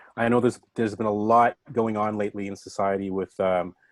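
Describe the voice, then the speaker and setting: A man with a Canadian accent talks at a fairly quick pace, his fairly low voice monotone and flat. The sound is dry and close with no echo, in a very clean recording with a silent background. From Canada, Scarborough, Toronto. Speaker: showcase host. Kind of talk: casual talk to audience.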